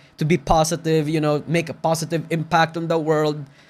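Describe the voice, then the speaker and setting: A man speaks with a slight Filipino accent. His pitch is fairly high, and his pace is fairly quick. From Philippines. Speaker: VTuber commentary YouTuber. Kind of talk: reaction video commentary. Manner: casual, animated.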